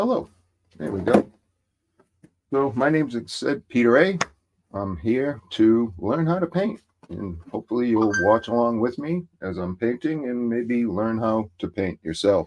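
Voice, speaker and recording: In a Massachusetts accent, a man talks at a fairly slow pace with lively intonation and a medium pitch. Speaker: hobby painter streamer. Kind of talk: casual livestream tutorial chat. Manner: halting, many fillers.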